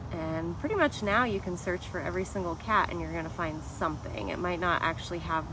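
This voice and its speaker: There's noticeable noise behind the speech. The woman talks at a moderate pace. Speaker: animal keeper. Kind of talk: casual live stream Q&A. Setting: outdoors at a sanctuary, live stream. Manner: chatty, friendly.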